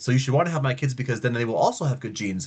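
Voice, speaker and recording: Somewhat breathy, a man's medium-pitched voice comes through over a quiet background. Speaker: lecturer on monarch biology. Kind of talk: lecture. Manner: fast; animated.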